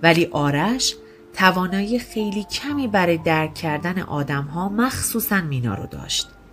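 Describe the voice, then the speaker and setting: Music plays in the background while someone speaks at a fairly slow pace with lively intonation. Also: woman, fairly low pitch for a woman. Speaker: podcast narrator. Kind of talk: scripted narration.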